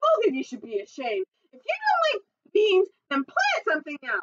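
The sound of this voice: A woman puts on a character voice at an extremely high pitch, with a fairly bright tone and very wide pitch swings. The sound is dry and close, with no echo. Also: moderate pace.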